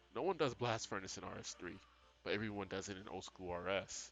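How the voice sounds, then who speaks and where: A man with a fairly low pitch speaks at a moderate pace while music plays in the background. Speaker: gaming youtuber. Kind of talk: casual vlog monologue. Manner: halting, many filler words.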